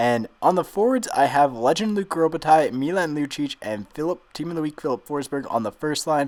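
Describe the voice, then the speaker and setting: Loud and fairly quick, a man speaks at a fairly high pitch with very wide pitch swings. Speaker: gaming YouTuber. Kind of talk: video game commentary. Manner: loud, straining to project.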